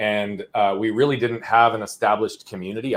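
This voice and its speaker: A man with an American accent speaks in an energetic tone. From Arizona, US. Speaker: entrepreneur coach. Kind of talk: interview storytelling. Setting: live-streamed podcast. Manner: fast.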